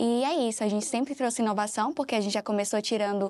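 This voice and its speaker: Her voice is a normal speaking voice, fairly high for a woman, with ordinary pitch variation. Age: 20s. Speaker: operations manager. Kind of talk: interview.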